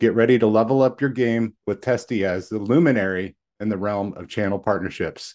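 With a normal speaking voice, a man talks at a fairly quick pace with ordinary pitch variation over a quiet background. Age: 40s. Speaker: podcast host. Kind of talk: scripted guest introduction; casual interview chat.

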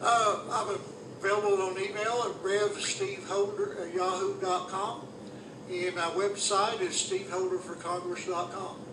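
A man's high-pitched, monotone, flat voice at a fairly slow pace, with audible room echo and noticeable background noise. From Northeast Tennessee, Johnson City. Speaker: political candidate and minister. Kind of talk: radio interview. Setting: radio studio. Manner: halting.

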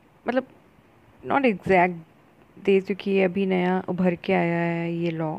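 A woman is speaking. The tone of her voice is dark and mellow. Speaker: friend giving feedback. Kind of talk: voice note. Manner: halting.

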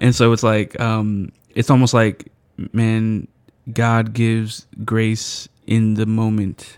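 On a very clean recording with a silent background, a man with an American accent and a medium pitch speaks at a very slow pace in monotone, flat intonation. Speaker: podcast co-host. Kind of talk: casual chat.

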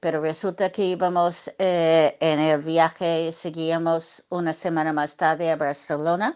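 A woman's fairly low voice with an English accent, at a very slow pace. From US, Brooklyn, New York. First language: English (speaking Spanish). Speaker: bullfighting journalist and writer. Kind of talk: interview. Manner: hesitant with many fillers.

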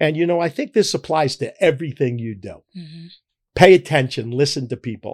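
A man at a fairly quick pace, lively in intonation, on a very clean recording with a silent background. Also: big swings in loudness. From Philadelphia. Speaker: grocery chain founder. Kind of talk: interview. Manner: halting, repeats words.

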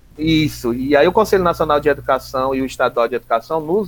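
This man's voice sits fairly high in pitch. He talks at a fairly quick pace with ordinary pitch variation. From Ceará, Brazil (Redenção/Palmácia, Maciço de Baturité). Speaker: school district coordinator and teacher. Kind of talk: interview, personal storytelling. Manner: fluent orator.

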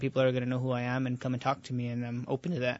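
A man's medium-pitched voice with a New Mexico accent. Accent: New Mexican English. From Albuquerque, New Mexico. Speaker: professional boxer. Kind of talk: radio interview. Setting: radio studio.

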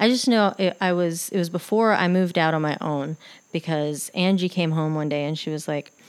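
A woman with a fairly low pitch speaks in a normal speaking voice. Her pitch varies in an ordinary way, and the recording is very clean with a silent background. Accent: American. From Texas, Lubbock. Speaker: spiritual podcast host. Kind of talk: personal storytelling monologue.

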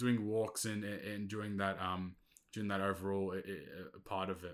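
In a plain, everyday voice, a man with a fairly low pitch speaks at a moderate pace on a very clean recording with a silent background. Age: 20s. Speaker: podcast host. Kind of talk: casual solo monologue. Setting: bedroom home setup.

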